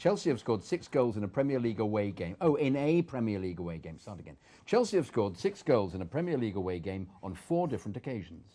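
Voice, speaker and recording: The voice races at a very fast pace with hardly any pauses, its tone dark and mellow. Pitch swings very widely and loudness rises and falls sharply. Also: man, medium pitch for a man. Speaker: voice-over artist. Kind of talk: sports stats read in voice-over style.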